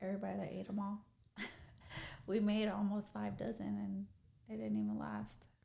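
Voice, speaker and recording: With a Midwestern accent, a woman talks at a moderate pace. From Kansas City, Missouri, US Midwest. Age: 30s. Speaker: entrepreneur and day trader. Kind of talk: casual interview chat.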